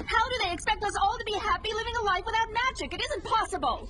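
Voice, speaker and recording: Over loud background noise, a whiny put-on character voice at an extremely high pitch rattles along at a very fast pace. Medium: fan dub.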